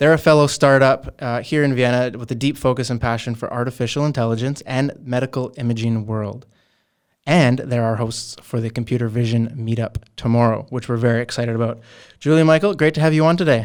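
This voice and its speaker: A man's plain, everyday voice with a Canadian accent, medium in pitch, fairly quick and fairly even in intonation, in a very clean recording with a silent background. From Canadian West Coast. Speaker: company interviewer. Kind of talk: casual interview.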